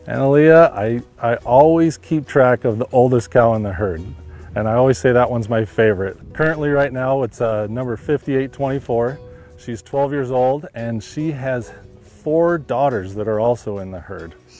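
A man talks at a moderate pace with ordinary pitch variation. The sound is dry with no echo, and faint music plays in the background. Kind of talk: interview answer. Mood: friendly, smiling. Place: farm machine. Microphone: lapel.

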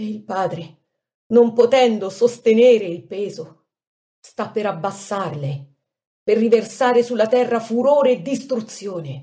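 A woman speaks at a fairly slow pace with long, frequent pauses and big swings in loudness. Her fairly high, somewhat breathy voice has a dark, mellow tone and lively intonation. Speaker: devotional reader. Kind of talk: reading aloud of a devotional prayer text.

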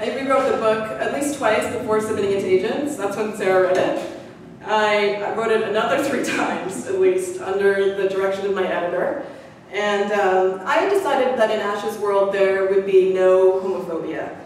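A woman with ordinary pitch variation, amid strong room echo and light background noise. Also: moderate pace. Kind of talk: public talk. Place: hall.

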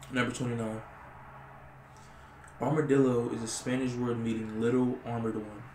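Soft-spoken and monotone, a man talks at a moderate pace with flat intonation, audible room echo and light background noise. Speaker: ASMR creator. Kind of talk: ASMR reading of random facts. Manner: casual, hesitant. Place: home room.

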